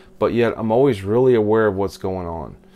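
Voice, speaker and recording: A man speaks in a normal speaking voice, fairly low in pitch, at a moderate pace with ordinary pitch variation. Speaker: self-help vlogger. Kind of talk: casual vlog talk. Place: home room. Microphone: phone near.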